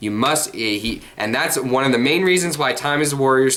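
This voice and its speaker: Noticeable background noise behind a man's medium-pitched voice with ordinary pitch variation. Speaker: card game youtuber. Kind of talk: casual monologue vlog. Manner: halting, many fillers and repeats.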